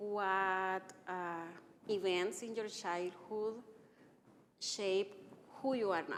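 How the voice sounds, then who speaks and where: With a Salvadoran accent, a woman speaks at a very slow pace with long, frequent pauses, fairly even intonation and audible room echo. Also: medium pitch for a woman. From El Salvador. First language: Spanish. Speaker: physician and anti-racism trainer. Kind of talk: interview. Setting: church live stream.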